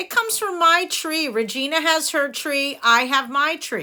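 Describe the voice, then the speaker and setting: A woman puts on a character voice at a high pitch. Her intonation is lively and her pace moderate. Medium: read story. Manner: brisk, no-nonsense.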